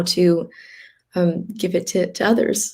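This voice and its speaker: In an American accent, a woman speaks at a fairly slow pace with a fairly low pitch, a dark, mellow tone, and monotone, flat intonation. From US West, Los Angeles. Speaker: healer and organ donation advocate. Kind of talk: interview testimony. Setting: live stream video chat. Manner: hesitant, many fillers and repeats.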